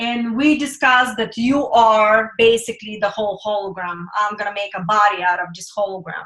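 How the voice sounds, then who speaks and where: A woman with a non-native accent and a bright, sharp tone, at a moderate pace with hardly any pauses, ordinary pitch variation and big swings in loudness. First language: not English. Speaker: spiritual teacher. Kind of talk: webinar talk. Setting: webinar with screen sharing. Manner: hesitant, many fillers.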